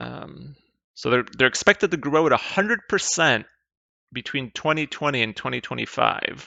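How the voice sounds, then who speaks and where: Lively in intonation and fairly high in pitch, a man speaks at a moderate pace with vocal fry. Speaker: investing YouTuber. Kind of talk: casual investment analysis commentary. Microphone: mediocre mic, new mic not yet set up.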